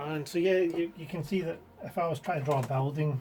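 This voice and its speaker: A man talks in a Scottish accent. Music plays in the background. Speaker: digital artist. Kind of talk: casual talk to camera, equipment review.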